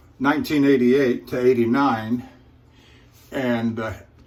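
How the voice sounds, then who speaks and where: An American accent comes through at a moderate pace with fairly even intonation. Room echo is audible. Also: man. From US Pacific Northwest, Portland, Oregon. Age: 60s. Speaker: truck driver and shaving channel host. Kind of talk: casual talk to camera while shaving. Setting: hotel room. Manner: halting, many fillers.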